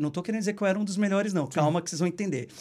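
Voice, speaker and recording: This man speaks with a high pitch. His pitch varies an ordinary amount. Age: 30s. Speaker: journalist and tour guide. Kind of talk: casual chat. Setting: live stream, Brooklyn.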